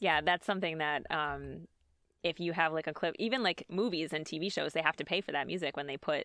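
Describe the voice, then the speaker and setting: A woman speaks with vocal fry at a very deep, low pitch, with ordinary pitch variation. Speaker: podcast host. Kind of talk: casual chat.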